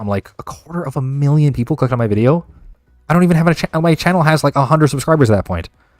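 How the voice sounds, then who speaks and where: A man talks very fast at a fairly high pitch. Music plays in the background. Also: dry, close sound with no echo. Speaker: card game content creator streamer. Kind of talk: casual livestream Q&A. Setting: livestream. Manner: animated.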